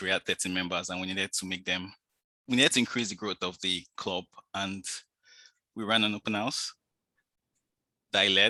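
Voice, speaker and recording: A man's bright, sharp voice at a fairly low pitch, fairly quick in pace and fairly even in intonation, over a quiet background. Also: dry, close sound with no echo. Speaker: toastmasters presenter, data enthusiast. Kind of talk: online presentation. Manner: fast.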